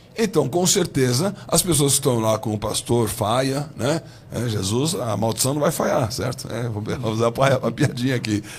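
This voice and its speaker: Noticeable background noise runs through the clip. The voice is a man's. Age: 60s. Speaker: bishop. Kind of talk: heated debate.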